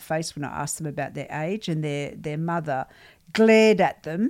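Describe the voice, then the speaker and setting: Lively intonation marks this woman's speech with an Australian accent, captured on a very clean recording with a silent background. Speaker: podcast host and ghost hunter. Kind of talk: casual chat podcast.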